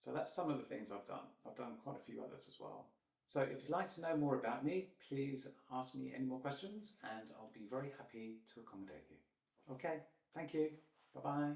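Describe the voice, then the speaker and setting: A man with a British accent talks at a fairly quick pace, his loudness swinging widely. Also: medium pitch for a man, lively intonation. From UK. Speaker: English teacher. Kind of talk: self-introduction. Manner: hesitant.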